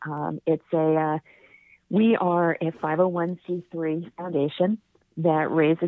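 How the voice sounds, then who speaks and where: With an American accent, a woman talks in an ordinary speaking voice at a fairly low pitch, her intonation fairly even. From New York, Rockland County, then California from age 12. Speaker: publicist and charity founder. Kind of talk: interview.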